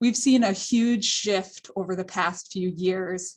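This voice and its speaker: A woman speaks at a medium pitch with a somewhat breathy quality. Her intonation stays fairly even. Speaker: senator's policy staffer. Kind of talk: prepared remarks.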